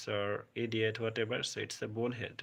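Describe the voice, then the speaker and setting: In a very clean recording with a silent background, a man with a Bengali accent speaks at a moderate pace in a bright, sharp tone. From India, West Bengal. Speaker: English teacher. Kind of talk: live stream vocabulary class. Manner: halting.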